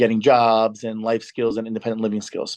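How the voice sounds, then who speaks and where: Recorded with a dry, close sound with no echo, a man speaks at a medium pitch. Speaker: camp director. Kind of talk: presentation. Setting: video call. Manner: fast.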